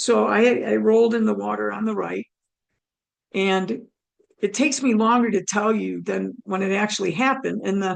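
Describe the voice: A woman's raspy voice, medium in pitch with vocal fry, holds a fairly even intonation.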